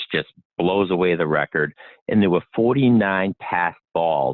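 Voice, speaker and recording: Lively intonation carries this moderately paced speech with a Boston accent. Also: man. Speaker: inventor. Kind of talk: interview.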